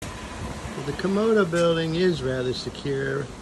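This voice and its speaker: Noticeable background noise fills the recording. The voice belongs to a man. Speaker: zoo director. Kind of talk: narration. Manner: calm. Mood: calm, dry, slightly wry. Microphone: phone near.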